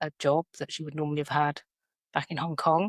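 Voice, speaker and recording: Against a silent background in a very clean recording, a woman with a British accent speaks in a fairly low pitch with a monotone, flat intonation and a dry, close sound with no echo. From South London, England. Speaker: educator. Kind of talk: podcast interview. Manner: hesitant, many fillers.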